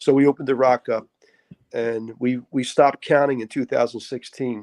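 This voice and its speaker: With a Philadelphia accent, a man speaks at medium pitch in a monotone, flat delivery. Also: moderate pace. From Philadelphia, Kensington. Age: 60s. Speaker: pastor and boxing coach. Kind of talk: interview.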